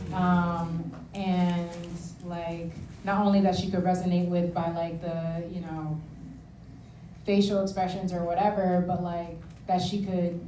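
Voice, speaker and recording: A woman with a fairly low voice speaks fairly slowly in a flat monotone, leaving long, frequent pauses, with noticeable background noise and audible room echo. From Philadelphia, moved from Haiti at five. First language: Haitian Creole. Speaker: poet. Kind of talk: stage interview. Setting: stage with audience. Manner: casual, many fillers.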